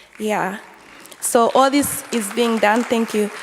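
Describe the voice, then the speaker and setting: Through noticeable background noise, a woman with a fairly high pitch talks at a moderate pace with ordinary pitch variation. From Zambia. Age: 20s. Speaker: local councillor. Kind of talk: conference talk. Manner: hesitant, many fillers.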